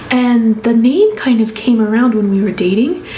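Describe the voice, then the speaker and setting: Noticeable background noise and audible room echo surround this woman's fairly high voice. She speaks with an American accent and ordinary pitch variation. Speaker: family vlogger. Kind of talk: casual vlog talk. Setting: bedroom at home. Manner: soft-spoken.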